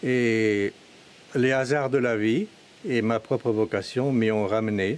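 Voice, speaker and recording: Delivery is very slow, and the intonation stays fairly even. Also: man. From Brittany, France (Finistère, Bigouden country). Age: 70s. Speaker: hermit farmer. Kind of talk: testimony. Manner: halting, with frequent hesitations.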